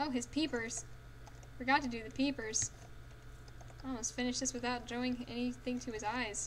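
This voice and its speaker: Noticeable background noise sits behind a woman whose high voice stays monotone and flat, broken by long, frequent pauses. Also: moderate pace. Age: 20s. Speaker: livestreaming artist. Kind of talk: casual chat while drawing on stream. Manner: subdued, less dynamic while focusing.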